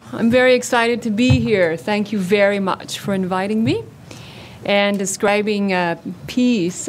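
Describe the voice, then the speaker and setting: At a fairly slow pace, a woman speaks at a medium pitch with very wide pitch swings, amid audible room echo and noticeable background noise. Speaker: psycho-oncology researcher and clinician. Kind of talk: conference talk. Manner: loud.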